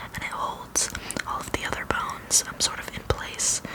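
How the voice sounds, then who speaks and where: Whispered words come at a fairly slow pace, with noticeable background noise behind them. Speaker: anthropologist (role-play persona). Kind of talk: ASMR roleplay, educational personal-attention explanation. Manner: whispered, soft-spoken.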